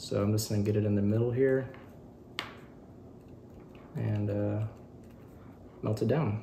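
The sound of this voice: A man talks at a fairly slow pace with fairly even intonation and some vocal fry. His fairly low voice has a dark, mellow tone, and there is audible room echo.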